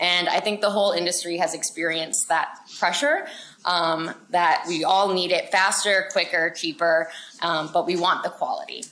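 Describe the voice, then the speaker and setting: With noticeable background noise behind her, a woman speaks at a moderate pace with a fairly low pitch, fairly even intonation and very even loudness. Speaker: market researcher presenting at a conference. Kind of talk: conference presentation. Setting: conference room with audience. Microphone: no personal mic, speaking without being mic'd up.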